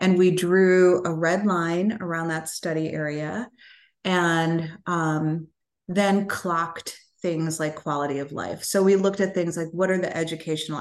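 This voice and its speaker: A woman speaks with an American accent at a fairly low pitch and a fairly slow pace. Hers is an unremarkable speaking voice with fairly even intonation, set against a quiet background. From Chicago South Side. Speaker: foundation president. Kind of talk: interview.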